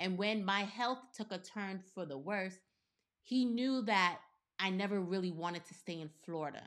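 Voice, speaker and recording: A woman talks at a moderate pace with medium pitch. She has a plain, everyday voice. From US, partly Caribbean background. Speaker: podcast co-host. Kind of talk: casual chat.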